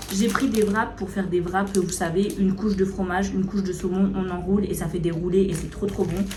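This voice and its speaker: A medium-pitched woman's voice at a very fast pace, with noticeable background noise and audible room echo. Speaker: food vlogger. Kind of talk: casual vlog chat. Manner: hesitant with many fillers.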